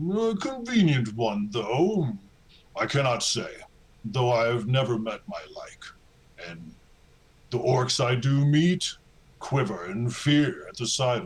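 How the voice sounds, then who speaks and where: In a put-on character voice, a man talks at a fairly slow pace and medium pitch, leaving long, frequent pauses. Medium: actual play. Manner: measured, formal, darkly wry.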